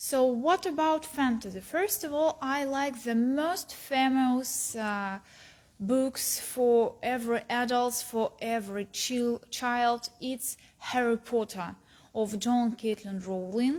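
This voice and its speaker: Speaking at a very slow pace with a Russian accent, a woman uses a high pitch and ordinary pitch variation. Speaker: philology student. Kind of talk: book recommendation talk. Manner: halting, many fillers.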